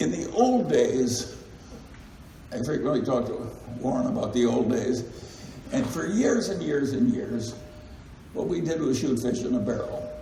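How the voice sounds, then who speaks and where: Over noticeable background noise, a man talks fairly slowly, pausing often and at length. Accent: American. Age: 80s+. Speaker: investor and company chairman. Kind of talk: shareholder meeting talk.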